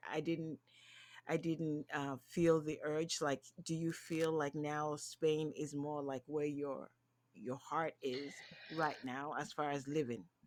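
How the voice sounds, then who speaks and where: Very slow, monotone delivery with flat intonation on a very clean recording with a silent background. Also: woman, very deep, low pitch for a woman. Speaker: podcast host. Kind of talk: podcast interview host.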